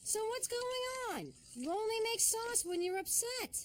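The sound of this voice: A woman's squeaky, extremely high-pitched cartoonish character voice, at a moderate pace with very even loudness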